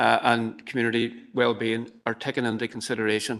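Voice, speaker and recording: Speaking at a moderate pace, a man in a Derry accent keeps a monotone, flat intonation. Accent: Northern Irish (Derry). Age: 60s. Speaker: community presenter. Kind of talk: presentation to council committee. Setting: council chamber hybrid meeting. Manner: hesitant, many fillers.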